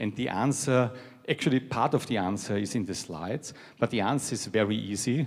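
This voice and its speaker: At a moderate pace, a man with a European accent talks in a fairly low voice. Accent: European accent, noticeable. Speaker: technology executive. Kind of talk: keynote speech.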